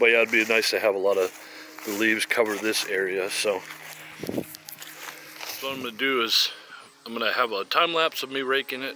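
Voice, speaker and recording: Noticeable background noise sits behind the recording. A man of medium pitch speaks with long, frequent pauses. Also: ordinary pitch variation. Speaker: gardening vlogger. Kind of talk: casual tutorial. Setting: outdoors in garden. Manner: slow; hesitant, many fillers.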